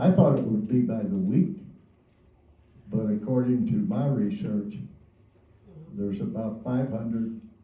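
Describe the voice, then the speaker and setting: A man speaks fairly slowly at a medium pitch, his voice swinging very widely in pitch, with audible room echo. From Kentucky. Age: 90s. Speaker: Korean War veteran. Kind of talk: testimony.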